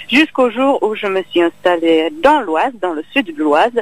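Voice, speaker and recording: A woman with a slight Czech accent. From Czech Republic. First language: Czech (speaking French). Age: young. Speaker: actress and singer. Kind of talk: interview. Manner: halting.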